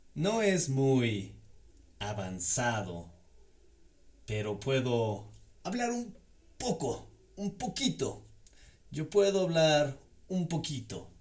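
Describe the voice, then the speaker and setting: Somewhat breathy and at a medium pitch, a man speaks at a very slow pace with long, frequent pauses and very wide pitch swings. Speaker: Spanish language teacher. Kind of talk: language lesson.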